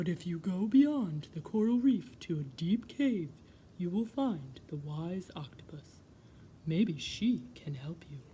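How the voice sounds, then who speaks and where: Put-on character voice at a middle pitch, fairly slow in pace, over clear background noise. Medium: read story. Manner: calm, measured.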